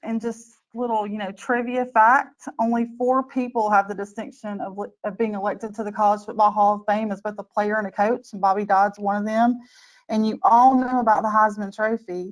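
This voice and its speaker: In a Southern US accent, a woman speaks in a fairly high pitch with fairly even intonation. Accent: Southern US drawl. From US South. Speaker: IT change manager. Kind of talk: webinar presentation. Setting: online webinar.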